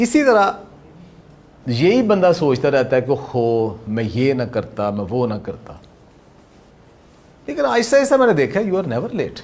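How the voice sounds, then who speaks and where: A man speaks with a fairly high pitch and very wide pitch swings. His speech has long, frequent pauses. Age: 60s. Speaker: motivational speaker and yoga teacher. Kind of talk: motivational talk. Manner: animated.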